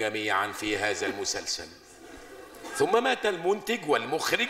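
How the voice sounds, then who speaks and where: A man's voice over light background noise. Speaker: stage comedy actor. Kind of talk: comic theatrical monologue. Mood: comic exaggerated grief. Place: stage. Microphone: lapel.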